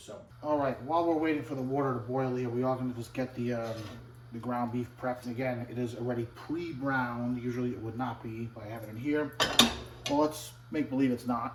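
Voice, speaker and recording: A man speaks at a very fast pace and a medium pitch, with fairly even intonation. Room echo is audible, and background noise is noticeable. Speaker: cooking show host and actor. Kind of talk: cooking tutorial. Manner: casual, chatty.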